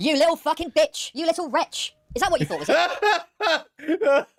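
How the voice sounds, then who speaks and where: A squeaky, high-pitched put-on character voice delivers its lines at a moderate pace. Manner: angry, ranting.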